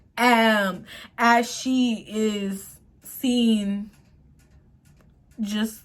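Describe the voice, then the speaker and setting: Her fairly high, somewhat breathy voice holds a fairly even intonation. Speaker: YouTuber, movie commentator. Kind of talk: movie commentary monologue. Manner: stutters when speaking; partly reading notes aloud.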